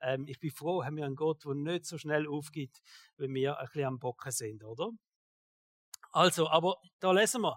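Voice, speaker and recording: With a Swiss accent and long, frequent pauses, the speaker holds a moderate pace and ordinary pitch variation in a dry, close sound with no echo. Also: man, fairly high pitch for a man. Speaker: pastor. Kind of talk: sermon. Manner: casual.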